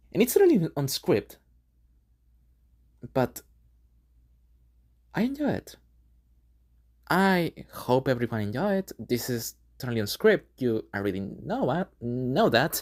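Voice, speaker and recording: A woman with a non-native accent talks at a fairly slow pace in a very deep, low voice, her pitch swinging very widely between long, frequent pauses, on a very clean recording with a silent background. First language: not English. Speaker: gaming video creator. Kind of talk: unscripted casual monologue. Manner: halting, with many fillers.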